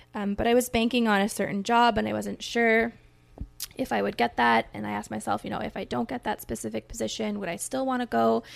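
Speaking at a very fast pace in a Canadian accent, a woman is heard on a very clean recording with a silent background. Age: 30s. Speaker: schoolteacher. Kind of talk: casual interview.

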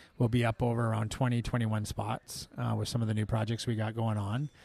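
In a very clean recording with a silent background, a man speaks with a western Canadian accent in a monotone, flat delivery. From Canada, Vancouver Island (Langford near Victoria). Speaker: executive chef and restaurant owner. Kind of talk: casual interview chat. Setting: restaurant after service, some ambient noise.

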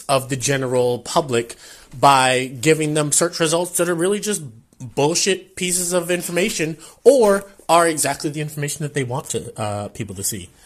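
A man with an ordinary speaking voice and an American accent, fairly high pitch, lively intonation and a moderate pace, on a very clean recording with a silent background

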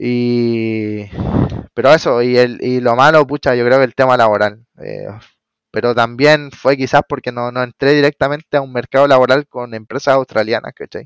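In a Chilean accent, a man speaks at a moderate pace with fairly even intonation. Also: medium pitch for a man. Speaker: electrician. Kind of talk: casual interview. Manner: halting, many repetitions.

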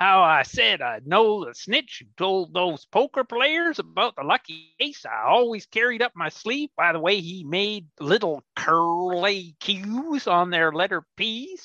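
In a dry, close recording with no echo and a quiet background, a man with a high pitch projects a raised voice that swings very widely in pitch. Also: fairly slow pace. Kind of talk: comic western radio play. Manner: dry, sardonic.

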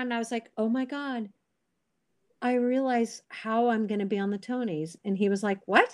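This woman's voice sits high in pitch. She talks at a fairly quick pace. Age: 50s. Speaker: stage actress and voice teacher. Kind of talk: casual interview. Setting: remote call.

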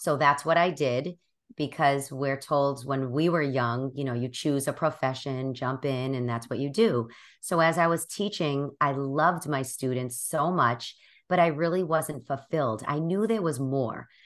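With a Boston accent, a woman speaks in a very deep, low pitch with ordinary pitch variation at a fairly slow pace. Her background is quiet. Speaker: life coach and podcaster. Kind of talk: interview conversation.

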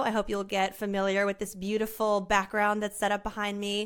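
In a very clean recording with a silent background, the words come at a fairly quick pace. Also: woman. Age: 30s. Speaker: podcast host. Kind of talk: solo monologue. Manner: casual.

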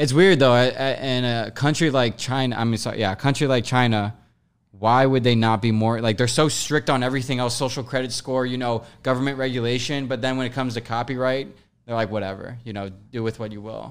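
Here is a plain, everyday voice with fairly even intonation. It moves at a fairly quick pace. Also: man, medium pitch for a man. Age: 20s. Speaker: podcast host. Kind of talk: casual chat.

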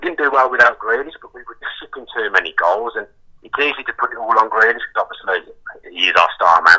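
A man talks at a fairly quick pace. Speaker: football fan guest. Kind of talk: casual football chat.

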